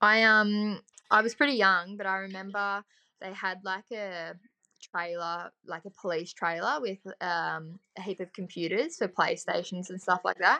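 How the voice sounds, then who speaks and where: In an Australian accent, a woman talks at a moderate pace with a medium pitch and ordinary pitch variation. Her bright, sharp tone shows big swings in loudness, and the sound is dry and close with no echo. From Victoria, Australia (Otways region). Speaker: motocross and desert racer. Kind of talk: casual chat.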